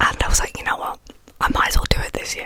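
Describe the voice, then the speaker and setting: Whispering over noticeable background noise. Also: woman. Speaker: ASMR artist. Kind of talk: ASMR ramble. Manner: soft-spoken, whispered.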